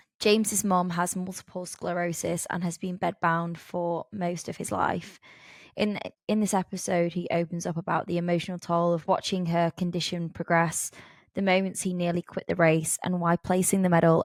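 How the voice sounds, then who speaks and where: A woman at a moderate pace, fairly low in pitch with monotone, flat intonation, on a very clean recording with a silent background. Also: dry, close sound with no echo. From northern England. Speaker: podcast host. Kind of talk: interview; scripted intro.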